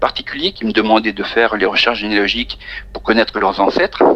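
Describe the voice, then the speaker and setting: A man speaks at a very fast pace with fairly even intonation. Noticeable background noise can be heard. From France, Charente-Maritime. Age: 50s. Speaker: countertenor singer. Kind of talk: interview. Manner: halting.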